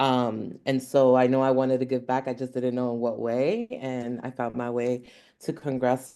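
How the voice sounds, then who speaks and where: A Philadelphia accent at a moderate pace. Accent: Philadelphia American English. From Philadelphia (Hunting Park). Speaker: congressional staffer. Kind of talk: panel discussion.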